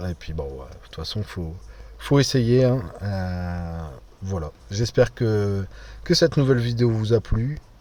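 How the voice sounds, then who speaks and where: Somewhat breathy and fairly low-pitched, a man talks at a fairly slow pace with big swings in loudness. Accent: northern French. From northern France. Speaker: gaming YouTuber. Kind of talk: gameplay commentary. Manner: casual, hesitant with fillers.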